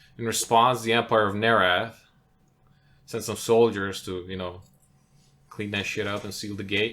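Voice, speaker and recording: A man with a non-native accent and a fairly low pitch speaks in a bright, sharp tone at a moderate pace, with monotone, flat intonation, big swings in loudness, and long, frequent pauses. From outside English-speaking world (immigrant). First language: not English. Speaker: podcast co-host, tabletop game designer. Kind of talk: casual chat.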